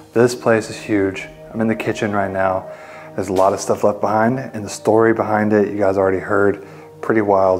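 Faint music plays in the background as a man talks at a fairly quick pace with fairly even intonation. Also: fairly low pitch for a man. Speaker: urban explorer vlogger. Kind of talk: casual vlog chat. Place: home room.

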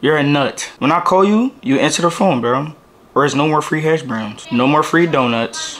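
At a moderate pace and with lively intonation, a man speaks over light background noise. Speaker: vlogger. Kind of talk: casual vlog chat.

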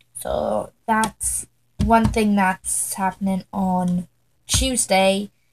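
Her somewhat breathy voice stays monotone, the woman's intonation flat throughout. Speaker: vlogger. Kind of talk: casual vlog chat. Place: home room. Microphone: webcam.

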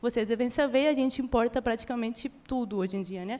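A woman speaks with a Spanish accent at a high pitch. Her pace is fairly quick. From Venezuela. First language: Spanish (speaking Portuguese). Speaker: audience member. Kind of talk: audience question. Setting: live event with audience. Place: meeting room.

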